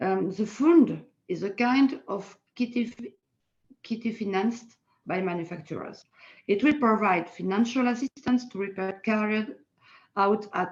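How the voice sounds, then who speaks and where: Speaking at a fairly slow pace, a woman with a French accent has a medium pitch. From France. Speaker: politician. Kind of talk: panel talk. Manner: halting.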